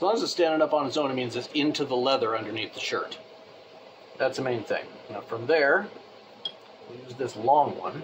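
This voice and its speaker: With noticeable background noise behind him, a man with a fairly high voice speaks at a moderate pace, with long, frequent pauses, big swings in loudness and ordinary pitch variation. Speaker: leather crafter. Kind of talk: tutorial. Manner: occasionally slurring words; casual.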